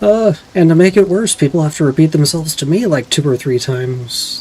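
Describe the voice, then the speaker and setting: A quiet man mumbles at a moderate pace and a fairly high pitch, with ordinary pitch variation and noticeable background noise. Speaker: vtuber streamer. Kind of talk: gameplay stream commentary. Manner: quiet, often mumbles; casual, halting.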